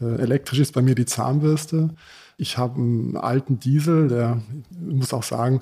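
A man's somewhat breathy, medium-pitched voice with a dark, mellow tone. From Sudan and Germany (from age 11). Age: 50s. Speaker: fuel station company owner. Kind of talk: interview.

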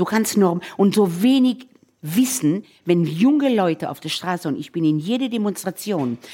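In a dark, mellow tone, a somewhat breathy woman of medium pitch speaks at a fairly slow pace with very wide pitch swings. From Israel, Tel Aviv. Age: 60s. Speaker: chef and restaurateur. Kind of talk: casual chat while cooking.

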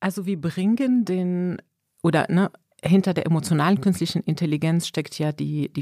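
At a moderate pace, a woman speaks with a dark, mellow tone in a dry, close sound with no echo. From Morocco. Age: 40s. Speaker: manager. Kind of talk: interview. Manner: animated.

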